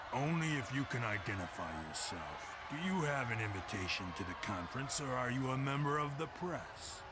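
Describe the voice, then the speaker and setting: A man uses a put-on character voice at a medium pitch with hardly any pauses. Loud background noise runs underneath. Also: moderate pace. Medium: video game. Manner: officious, dry.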